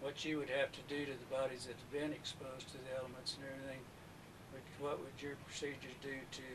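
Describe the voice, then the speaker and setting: A man speaks in a monotone, flat intonation, with audible room echo. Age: 60s. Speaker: former mortician, eyewitness interviewee. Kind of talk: recorded interview testimony.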